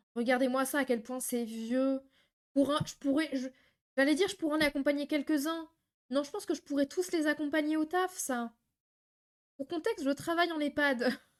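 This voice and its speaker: An animated woman's voice, high in pitch with ordinary pitch variation, at a moderate pace with long, frequent pauses. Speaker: streamer reacting to videos. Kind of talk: live stream reaction commentary.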